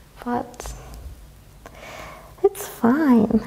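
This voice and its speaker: With a Hungarian accent, a woman speaks in a high pitch with lively intonation over noticeable background noise. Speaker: yoga instructor. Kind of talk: yoga class instruction. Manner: calm, relaxed.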